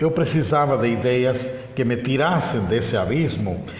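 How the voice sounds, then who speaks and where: Noticeable background noise and audible room echo surround a man speaking at a moderate pace, medium in pitch, with lively intonation. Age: 60s. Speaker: mediator and conciliator, spiritist speaker. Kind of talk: interview on spirituality.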